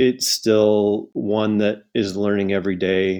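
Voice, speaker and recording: A man with a Canadian accent talks at a fairly slow pace in a normal speaking voice, his pitch fairly low. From Canada. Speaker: outdoor educator and nonprofit founder. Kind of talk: interview conversation.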